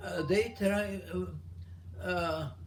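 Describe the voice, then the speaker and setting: A man speaks with vocal fry at a very slow pace. His pitch swings very widely. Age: 80s+. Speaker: war veteran, former prisoner of war. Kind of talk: interview answer. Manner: halting, hesitant.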